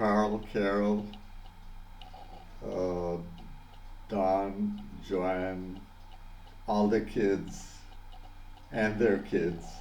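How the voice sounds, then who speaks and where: The voice moves at a very slow pace with monotone, flat intonation, very even loudness and long, frequent pauses. Audible room echo surrounds it. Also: man, fairly low pitch for a man. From Panama. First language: Spanish. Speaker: vlogger. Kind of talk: personal video message. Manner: halting, many fillers and repetitions.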